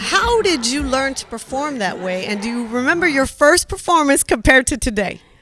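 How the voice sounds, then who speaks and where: A woman speaks at a high pitch with very wide pitch swings, at a moderate pace and with hardly any pauses. Noticeable background noise runs underneath. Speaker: radio host. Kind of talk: interview. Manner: animated.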